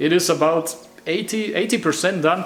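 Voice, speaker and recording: A man with a German accent speaks in a high pitch with ordinary pitch variation, over noticeable background noise. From Germany, Munich. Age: 20s. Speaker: hobby motorcycle builder, vlogger. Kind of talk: casual vlog intro. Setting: home workshop. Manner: hesitant, many fillers.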